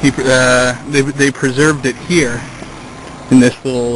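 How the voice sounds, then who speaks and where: Against noticeable background noise, a man speaks at a fairly slow pace with a medium pitch. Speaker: travel vlogger on a bicycle trip. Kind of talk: casual travel vlog narration. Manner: halting, stammers often.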